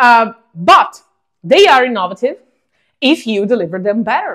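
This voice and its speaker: A woman speaks in an Italian accent at a fairly slow pace. Her fairly high voice makes very wide pitch swings. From Italy. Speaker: podcast host, startup founder. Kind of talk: casual monologue podcast. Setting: at home.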